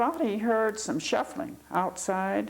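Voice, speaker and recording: A woman's medium-pitched voice with a Midwestern American accent, at a fairly slow pace. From Ohio, Cleveland. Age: 80s+. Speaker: oral history interviewee. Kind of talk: interview. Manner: halting.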